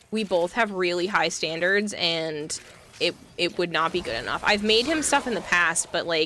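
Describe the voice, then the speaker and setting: A woman with an American accent, fairly low in pitch, at a moderate pace with ordinary pitch variation, amid noticeable background noise. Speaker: streamer.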